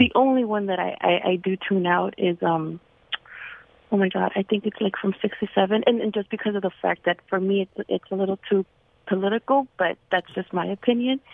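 A woman speaks in a normal speaking voice with an American accent and medium pitch. She talks at a fairly quick pace with fairly even intonation. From Los Angeles, US. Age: 40s. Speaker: radio caller. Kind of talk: testimony. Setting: phone call.

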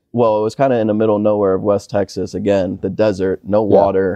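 Talking very fast with an American accent, a man has a dark, mellow tone in a dry, close recording with no echo. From Michigan. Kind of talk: casual interview. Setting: barn on a farm.

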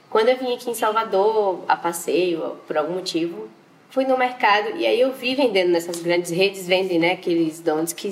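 A woman of medium pitch talks at a moderate pace, her pitch varying in an ordinary way over noticeable background noise. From Bahia, Brazil (Valença, interior). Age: 20s. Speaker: entrepreneur, donut business owner. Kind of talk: interview.

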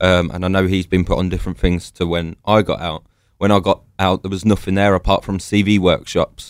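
A man speaks with a London accent at a fairly quick pace. His very deep, low voice stays monotone and flat. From London, England. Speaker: army veteran. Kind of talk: interview.

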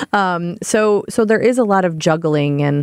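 With ordinary pitch variation, a woman speaks in a very clean recording with a silent background and a dry, close sound with no echo. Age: 30s. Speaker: animal welfare nonprofit director. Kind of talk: casual chat.

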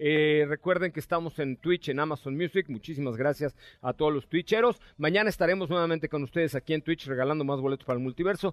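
A man speaks at a very fast pace with hardly any pauses. His voice is fairly high, with ordinary pitch variation. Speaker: radio host. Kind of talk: live radio show, casual chat. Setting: radio studio.

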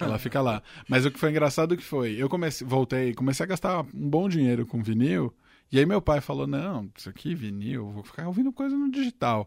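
A man with an unremarkable speaking voice talks at a fairly quick pace, medium in pitch and lively in intonation. The recording is very clean with a silent background. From São Caetano do Sul, Greater São Paulo (ABC), Brazil. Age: 20s. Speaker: tech journalist. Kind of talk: casual chat.

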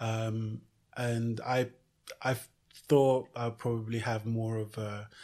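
A man speaks at a very slow pace in a medium pitch. His intonation is monotone and flat. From Nigeria (Lagos) and UK (London). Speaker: fashion entrepreneur. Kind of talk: interview. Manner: halting, many fillers and repetitions.

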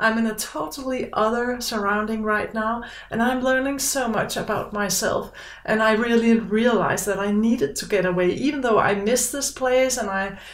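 A woman speaks with a Danish accent. Her pitch is fairly high and her pace moderate. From Denmark. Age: 50s. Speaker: podcast guest. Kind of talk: casual interview chat. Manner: halting, searching for words.

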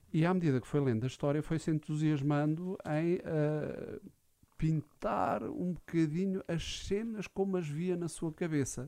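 Pitched fairly high, a man speaks at a fairly slow pace with a dark, mellow tone and ordinary pitch variation. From Portugal, Alcobaça. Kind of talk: radio interview. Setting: radio studio.

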